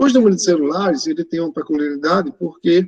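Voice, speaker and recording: With lively intonation, a man speaks at a high pitch in a dark, mellow tone, the sound dry and close with no echo. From Pernambuco, Brazil. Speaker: math teacher. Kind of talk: online lecture. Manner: casual, filler-heavy.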